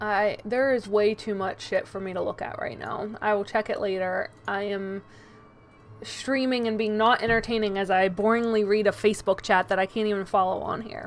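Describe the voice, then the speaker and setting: Music plays behind a woman whose fairly high voice stays monotone and flat. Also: moderate pace. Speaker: video game streamer. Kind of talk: live gaming stream chat. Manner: mumbling to herself.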